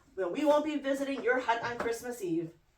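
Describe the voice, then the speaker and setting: Fairly quick and high-pitched, a female-sounding put-on character voice carries the lines. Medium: read story. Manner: screechy.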